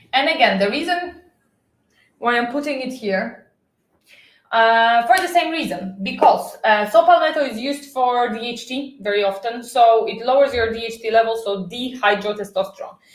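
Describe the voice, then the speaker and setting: Her loudness swinging widely, a woman talks at a moderate pace with a fairly high pitch and lively intonation. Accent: non-native. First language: not English. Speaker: health vlogger. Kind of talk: casual chat. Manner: halting.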